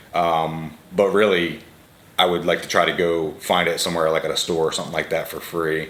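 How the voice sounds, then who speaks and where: Amid noticeable background noise and audible room echo, a man talks at a fairly quick pace in a very deep, low, flat monotone. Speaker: fragrance reviewer. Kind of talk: casual product review.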